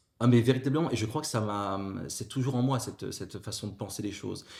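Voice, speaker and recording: Speaking at a very fast pace, a man with a medium pitch sounds somewhat breathy and uses ordinary pitch variation. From northern France (Avesnois, near Fourmies). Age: 40s. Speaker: former teacher, civil service HR executive. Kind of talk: podcast interview. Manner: hesitant, many fillers.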